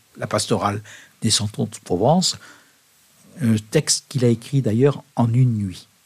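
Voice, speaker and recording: A man speaks at a fairly slow pace in a medium pitch, with a somewhat breathy quality. His pitch rises and falls in an ordinary way. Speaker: monk and puppeteer. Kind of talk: radio interview. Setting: studio. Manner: hesitant, many fillers.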